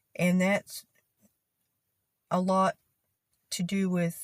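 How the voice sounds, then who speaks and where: A woman's somewhat breathy, medium-pitched voice with a Texan accent, very slow and monotone, flat in intonation, in a dry, close sound with no echo. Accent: Texan, twang and drawl. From Texas. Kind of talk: casual talk to camera.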